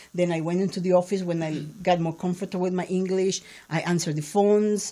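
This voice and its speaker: Speaking at a very fast pace with a Spanish accent, a woman has a dark, mellow tone and a medium pitch in monotone, flat intonation. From Peru, Lima. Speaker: entrepreneur in print sales. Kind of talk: interview conversation.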